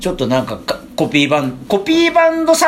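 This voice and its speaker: A man's pitch swings very widely as he talks. Noticeable background noise runs underneath. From Japan, Chiba (Funabashi). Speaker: musician, band vocalist. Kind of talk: casual chat.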